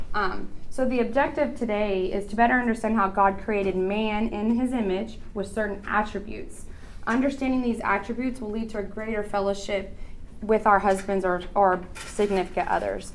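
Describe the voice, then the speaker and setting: Audible room echo surrounds a woman's voice at a medium pitch. She speaks at a moderate pace with fairly even intonation. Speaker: women's conference speaker. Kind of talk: talk at women's Bible conference.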